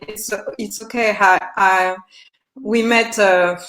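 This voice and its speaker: Speaking very slowly, a woman has a French accent. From France. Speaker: yoga therapist and teacher. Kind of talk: interview. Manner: halting, repeated words.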